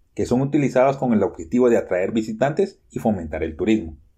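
At a moderate pace, a man with a medium-pitched voice, a dark, mellow tone, and vocal fry swings very widely in pitch. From Guatemala. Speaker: journalist. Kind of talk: scripted narration.

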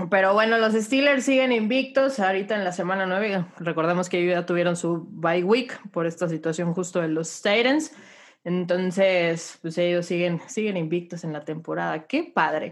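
At a moderate pace, a woman speaks in an animated tone at a medium pitch, with ordinary pitch variation. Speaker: NFL podcast host. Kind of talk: casual sports chat.

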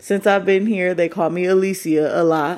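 Using an unremarkable speaking voice with an American accent, a woman speaks at a moderate pace in a fairly low pitch with ordinary pitch variation. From Michigan. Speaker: podcast host. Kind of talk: casual monologue.

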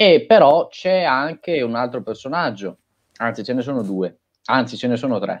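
Lively intonation from a man at a moderate pace, his voice medium-pitched. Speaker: podcast co-host discussing films. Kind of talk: casual chat about films.

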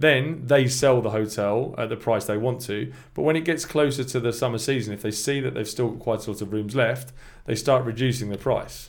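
With a southern English accent, a man speaks at a fairly quick pace in a medium pitch with ordinary pitch variation. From England, Milton Keynes area. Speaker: long-term expat, English teacher. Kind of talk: casual chat.

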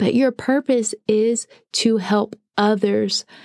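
A woman speaks in a medium pitch at a very slow pace, with fairly even intonation. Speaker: podcast host and ministry founder. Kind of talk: devotional talk, motivational. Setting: podcast recording. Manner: goofy, voice fluctuates in pitch.

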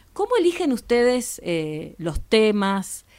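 The recording is very clean over a silent background. A woman talks fairly slowly. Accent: Argentine. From Argentina, Patagonia. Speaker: podcast host. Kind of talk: interview.

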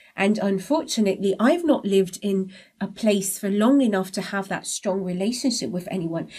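A woman with a fairly high, somewhat breathy voice on a very clean recording with a silent background. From abroad, moved countries as a child. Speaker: podcast co-host. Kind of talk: casual chat.

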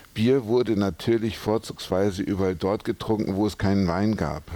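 This man has a very deep, low pitch. His pitch varies in an ordinary way. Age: 50s. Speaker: brewery director. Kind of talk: interview. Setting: brewery.

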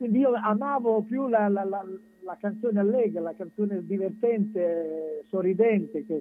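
A man with a high pitch. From Romagna, Italy. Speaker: singer-songwriter. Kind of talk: casual radio interview.

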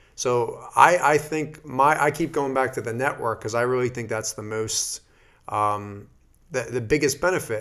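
The recording is very clean, with a silent background. A man speaks at a medium pitch and moderate pace in a normal speaking voice, with ordinary pitch variation. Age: 30s. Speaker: physical therapist. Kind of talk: casual chat.

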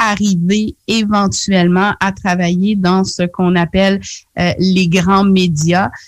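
Somewhat breathy and very slow, the speaker talks in a Quebec accent with a dry, close sound with no echo. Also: woman. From Quebec (Charlevoix, Quebec City), Haitian heritage. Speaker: community radio journalist. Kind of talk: radio interview.

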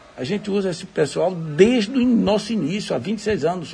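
A moderate pace carries the speech, with noticeable background noise throughout. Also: man. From Bahia, Brazil (Jacobina). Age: 60s. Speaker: civil engineer and businessman. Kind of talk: recorded interview testimony. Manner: halting.

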